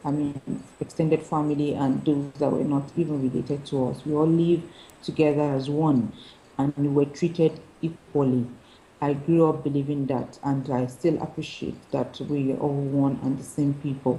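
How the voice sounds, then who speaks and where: Very deep and low, a woman's voice carries a dark, mellow tone and some breathiness. She speaks at a moderate pace with monotone, flat intonation. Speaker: lawyer and poet. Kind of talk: interview answer.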